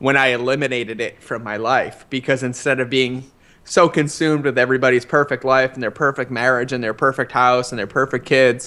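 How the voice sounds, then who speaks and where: A man with an American accent speaks at a fairly quick pace in a medium pitch, his tone bright and sharp, on a very clean recording with a silent background. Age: 30s. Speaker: former marine and paleo chef. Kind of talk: interview. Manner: fast; animated.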